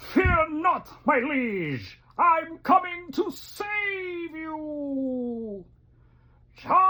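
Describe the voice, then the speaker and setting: Someone speaks in a high-pitched put-on character voice at a very slow pace. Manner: bold, heroic.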